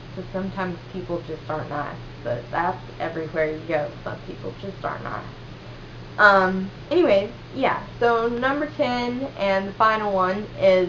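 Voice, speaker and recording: In a slight Southern US accent, a woman speaks at a moderate pace and medium pitch, with very wide pitch swings and big swings in loudness. Room echo is audible. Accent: slight Southern twang. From US South, western North Carolina. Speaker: vlogger. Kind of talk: casual chat. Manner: casual, filler-heavy.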